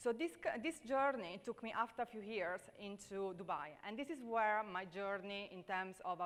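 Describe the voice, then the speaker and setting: At a moderate pace and with hardly any pauses, a woman talks with lively intonation. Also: medium pitch for a woman. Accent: Italian. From Italy. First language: Italian. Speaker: leadership speaker. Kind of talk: conference talk. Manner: hesitant, many fillers.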